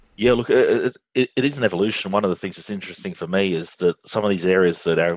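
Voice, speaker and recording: Dry and close with no echo, a man's very deep, low voice moves at a fairly quick pace with ordinary pitch variation. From Australia. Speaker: finance outsourcing business leader. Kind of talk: interview conversation. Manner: frequent hesitations and fillers.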